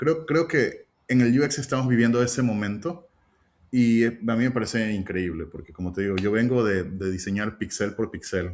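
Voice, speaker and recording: With an unremarkable speaking voice at medium pitch, a man talks at a moderate pace with lively intonation. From Ecuador, Quito. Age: 40s. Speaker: UX design strategist. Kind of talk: interview.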